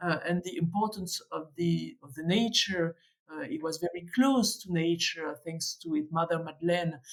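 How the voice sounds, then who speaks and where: A woman in a French accent, fairly low in pitch, at a moderate pace with ordinary pitch variation and big swings in loudness. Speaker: museum director and curator. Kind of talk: podcast interview. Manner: halting, many hesitations.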